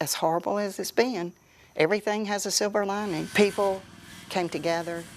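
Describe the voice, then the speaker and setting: A woman talks at a fairly quick pace in an ordinary speaking voice. Her medium pitch stays fairly even. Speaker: town mayor. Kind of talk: interview answer.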